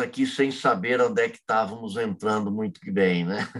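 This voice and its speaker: Very wide swings in pitch run through what this man says. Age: 60s. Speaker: freemasonry grand master. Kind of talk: interview. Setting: working from home. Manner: vehement.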